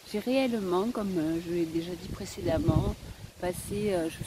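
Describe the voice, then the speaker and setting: Noticeable background noise sits behind a woman with a Provençal accent. She speaks at a fairly slow pace with lively intonation. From Spain. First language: Spanish (speaking French). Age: old. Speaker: vlogger. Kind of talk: casual vlog monologue. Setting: outdoors. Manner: hesitant, many fillers.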